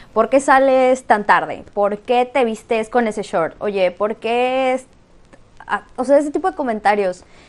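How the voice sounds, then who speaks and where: High-pitched woman's voice with lively intonation at a fairly slow pace. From Mexico, Campeche. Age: 20s. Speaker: podcast co-host. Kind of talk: casual chat.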